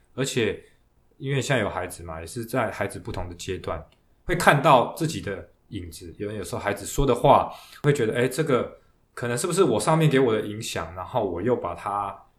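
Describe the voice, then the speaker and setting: The voice is somewhat breathy, with lively intonation, a fairly quick pace and big swings in loudness. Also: man. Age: 40s. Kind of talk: podcast interview. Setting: studio.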